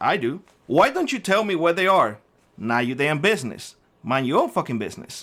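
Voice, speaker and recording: In a Cuban accent, a man talks at a fairly quick pace with lively intonation on a very clean recording with a silent background. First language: Spanish. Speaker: prepping YouTuber. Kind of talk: angry rant to camera.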